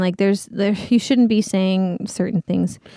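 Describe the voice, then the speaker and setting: A woman with a Californian accent is heard in a dry, close sound with no echo. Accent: Californian American English. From Southern California. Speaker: Broadway performer. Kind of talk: casual chat.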